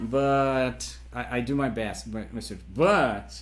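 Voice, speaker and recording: A man talks with a Brazilian accent. Room echo is audible. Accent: Brazilian non-native English. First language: Portuguese. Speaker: metal musician. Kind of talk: interview. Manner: halting, with many repetitions.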